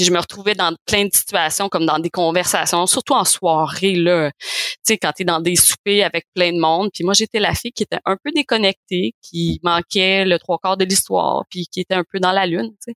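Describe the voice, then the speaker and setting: A woman speaks at a moderate pace with hardly any pauses, in an ordinary speaking voice at medium pitch and with ordinary pitch variation. The sound is dry and close, with no echo. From Quebec, Montreal. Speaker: osteopath and mother of four. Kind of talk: podcast interview, personal testimony.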